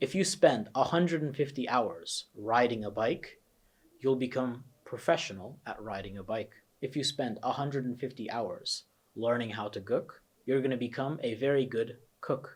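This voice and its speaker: A man with an American accent speaks in a somewhat breathy voice. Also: medium pitch for a man, ordinary pitch variation, moderate pace. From New Jersey, USA (about nine years of childhood). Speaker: test prep coach. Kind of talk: course introduction lesson.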